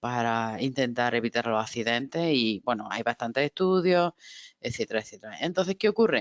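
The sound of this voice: At a moderate pace, a woman with an extremely low pitch and ordinary pitch variation speaks in a dry, close sound with no echo.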